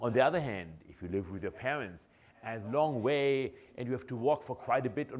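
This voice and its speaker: A man with a German accent speaks at a moderate pace, his voice edged with vocal fry. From Germany. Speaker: professor. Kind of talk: lecture. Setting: lecture hall with audience.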